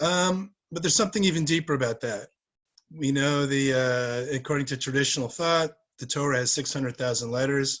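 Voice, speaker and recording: The voice shows ordinary pitch variation. It moves at a fairly quick pace. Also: man. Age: 60s. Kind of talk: talk to a community group. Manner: halting, many fillers.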